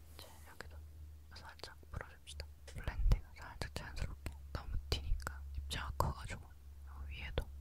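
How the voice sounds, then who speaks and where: A woman whispers at a moderate pace. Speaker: makeup roleplay host. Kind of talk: soft-spoken roleplay. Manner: soft close-mic ASMR speaking. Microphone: handheld.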